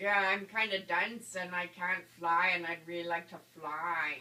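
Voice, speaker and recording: At a moderate pace, a cartoonish character voice does the talking. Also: man, high pitch for a man. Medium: puppet show. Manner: good-natured, self-mocking.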